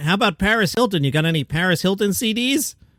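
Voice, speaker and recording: The delivery is very fast, with ordinary pitch variation. The sound is dry and close, with no echo. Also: man. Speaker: podcast host. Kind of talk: news podcast narration. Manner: casual, conversational.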